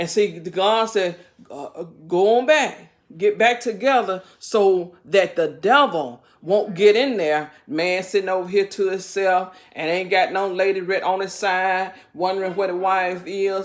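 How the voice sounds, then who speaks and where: Pitch varies in an ordinary way as the speech moves at a fairly slow pace. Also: woman, medium pitch for a woman. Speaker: bible teacher on a video channel. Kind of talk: informal bible study talk. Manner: halting, many fillers and repeats.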